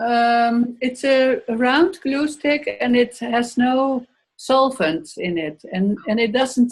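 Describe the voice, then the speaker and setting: With a Dutch accent, a woman speaks at a very slow pace in a high pitch, her intonation lively. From Netherlands. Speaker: workshop participant. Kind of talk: casual chat. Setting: video call. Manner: halting.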